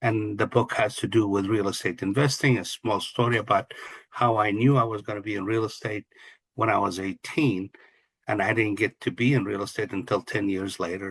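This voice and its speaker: Against a quiet background, a man with an Arabic accent speaks at a fairly quick pace, his voice fairly low and somewhat breathy, with fairly even intonation. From Kuwait, Palestinian family. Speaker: real estate investor and coach. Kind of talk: interview.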